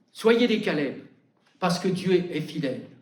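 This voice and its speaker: Very slow speech with lively intonation and audible room echo. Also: man. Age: 80s+. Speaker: preacher. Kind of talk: sermon. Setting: church.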